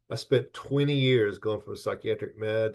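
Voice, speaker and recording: Moderate pace against a quiet background. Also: man. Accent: American. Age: 60s. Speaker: licensed professional counselor. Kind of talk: webinar presentation. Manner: halting.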